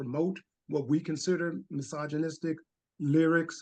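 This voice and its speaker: This man has a fairly high pitch and an American accent, with an unremarkable speaking voice. His intonation stays fairly even. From Harlem, New York. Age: 60s. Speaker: audience member, fatherhood practitioner. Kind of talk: question in webinar Q&A.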